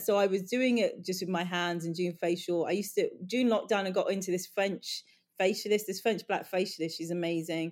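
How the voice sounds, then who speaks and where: In a London accent, the speech moves at a fairly quick pace with hardly any pauses. The recording is very clean, with a silent background. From Northwest London. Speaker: beauty brand co-founder. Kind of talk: casual chat. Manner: halting.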